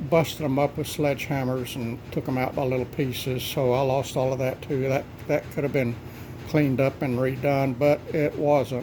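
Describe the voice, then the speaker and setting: Spoken with a Texan accent at a moderate pace, the delivery is monotone and flat against noticeable background noise. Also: man, medium pitch for a man. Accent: Texan Southern US. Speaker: homesteader. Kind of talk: casual talk to camera.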